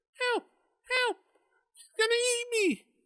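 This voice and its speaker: Squeaky and extremely high-pitched, the put-on character voice grabs the ear. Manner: pleading, panicked.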